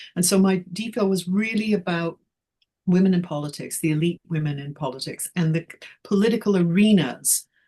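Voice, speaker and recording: With a Canadian accent, the speaker moves at a fairly quick pace in a dark, mellow tone. The voice is somewhat breathy, and its pitch varies in an ordinary way. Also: woman, fairly low pitch for a woman. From Canada, northern Alberta. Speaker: history professor. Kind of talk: interview conversation. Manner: hesitant, many fillers.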